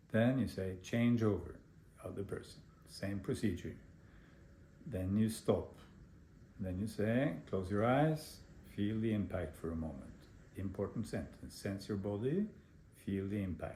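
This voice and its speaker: A man speaks fairly slowly in a fairly low, somewhat breathy voice with a dark, mellow tone and ordinary pitch variation. Long, frequent pauses break his speech, and the room echo is audible. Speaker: meditation teacher. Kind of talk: lecture.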